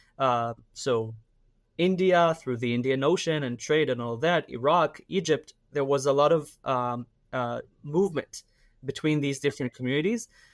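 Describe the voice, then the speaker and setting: A man speaks with a fairly high pitch. The sound is dry and close, without echo. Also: ordinary pitch variation, moderate pace. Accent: Israeli. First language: Hebrew. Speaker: activist and army reservist. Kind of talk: interview. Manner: hesitant, many fillers.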